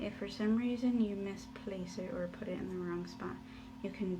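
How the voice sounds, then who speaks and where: A woman talks at a moderate pace, with audible room echo and noticeable background noise. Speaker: nail stylist. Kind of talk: tutorial. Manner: soft-spoken; casual, hesitant with fillers.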